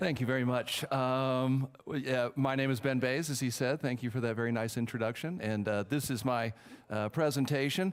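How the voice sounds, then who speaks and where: A man talks at a fairly quick pace with a Texan accent. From Texas. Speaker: film professor. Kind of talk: conference talk. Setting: stage with audience. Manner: halting, many fillers.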